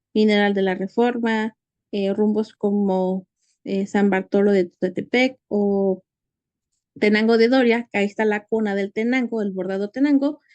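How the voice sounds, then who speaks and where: Someone with a Mexican accent speaks at a fairly slow pace with fairly even intonation, the sound dry and close with no echo. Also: woman, medium pitch for a woman. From Mexico, Hidalgo. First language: Nahuatl (speaking Spanish). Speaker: conference speaker. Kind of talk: conference talk. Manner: halting, many fillers.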